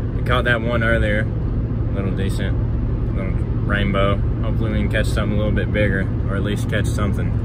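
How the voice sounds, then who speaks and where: Loud background noise under a man's very fast pace. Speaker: fishing vlogger. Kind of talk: casual vlog chat. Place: car. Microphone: phone near.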